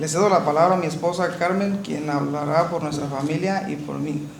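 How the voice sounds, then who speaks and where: At a very fast pace, a man with a fairly high pitch keeps fairly even intonation, heard through noticeable background noise and audible room echo. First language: Spanish. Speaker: family member of detained immigrant. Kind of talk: testimony.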